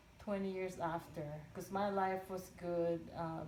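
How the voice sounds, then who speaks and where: A woman speaks at a fairly slow pace in a flat monotone, with noticeable background noise and audible room echo. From Philippines. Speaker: oral history interviewee. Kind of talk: interview. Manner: halting.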